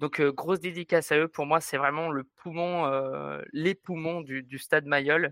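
Speaking at a fairly slow pace, a man uses a bright, sharp tone and monotone, flat intonation in a dry, close sound with no echo. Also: fairly high pitch for a man, hardly any pauses. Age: 20s. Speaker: rugby supporter. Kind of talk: interview.

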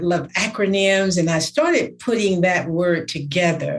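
Amid noticeable background noise, a woman speaks fairly slowly at a medium pitch with ordinary pitch variation. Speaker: podcast host. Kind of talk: podcast interview.

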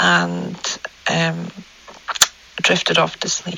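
A woman with a Scottish accent, very slow, over noticeable background noise. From Scotland. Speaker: listener sharing story. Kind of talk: voice note recounting personal story. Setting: recorded voice note.

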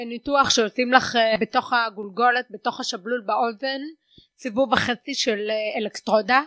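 With a bright, sharp tone and high pitch, a woman speaks in a raised, projected voice, her sound dry and close with no echo against a quiet background. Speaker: stand-up comedian and lecturer. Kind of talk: casual chat. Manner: hard of hearing since early childhood.

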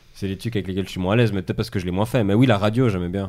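This man has a dark, mellow tone and fairly even intonation. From Switzerland. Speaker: stand-up comedian. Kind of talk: casual chat.

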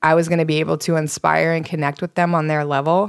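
Fairly low-pitched woman's voice in an American accent, monotone and flat, on a very clean recording with a silent background. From US East Coast. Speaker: nonprofit founder and yoga teacher. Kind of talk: interview.

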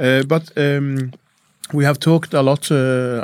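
A man speaks at a medium pitch with a Norwegian accent. His intonation is flat and monotone. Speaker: podcast host. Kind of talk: interview. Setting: studio. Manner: halting.

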